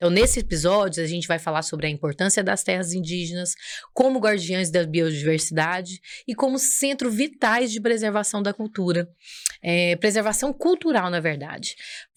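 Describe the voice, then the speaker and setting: The recording is very clean, with a silent background, as a woman speaks at a moderate pace and medium pitch. She has an unremarkable speaking voice with lively intonation. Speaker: podcast host. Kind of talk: podcast interview.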